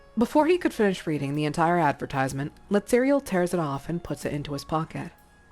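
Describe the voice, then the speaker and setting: With music in the background, a woman talks at a very fast pace, her fairly low voice making very wide pitch swings. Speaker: streamer reading a story aloud. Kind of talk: reading aloud; casual chat.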